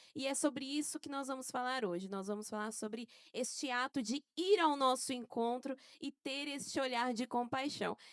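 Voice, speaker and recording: The sound is dry and close with no echo, and the speech keeps a moderate pace. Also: woman, high pitch for a woman, ordinary pitch variation. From Brazil, Santo André, São Paulo. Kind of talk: casual podcast chat.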